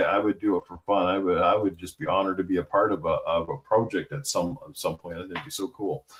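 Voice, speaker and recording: A man speaks at a fairly quick pace. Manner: hesitant, repeats words, uses fillers.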